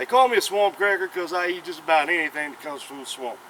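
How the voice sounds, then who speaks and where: A very fast man with a South Carolina accent and lively intonation, over noticeable background noise. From US South, South Carolina. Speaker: cooking YouTuber. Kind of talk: casual cooking tutorial. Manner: casual, chatty.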